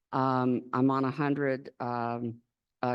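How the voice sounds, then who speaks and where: Her voice is very deep and low for a woman. She speaks in a monotone, flat intonation. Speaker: conference attendee, patient. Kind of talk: audience question at Q&A. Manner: halting.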